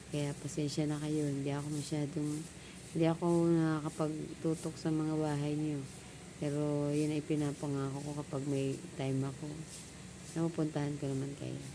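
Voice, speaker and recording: In a quiet voice, a woman speaks at a moderate pace with a very deep, low pitch and monotone, flat intonation, with audible room echo. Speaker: vlogger. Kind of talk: casual vlog talk. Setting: outdoors at home, just woke up. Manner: quiet, low voice.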